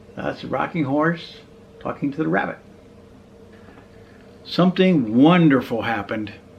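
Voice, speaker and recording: A man's fairly high voice at a moderate pace, with lively intonation, long and frequent pauses, and noticeable background noise. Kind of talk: children's storybook reading.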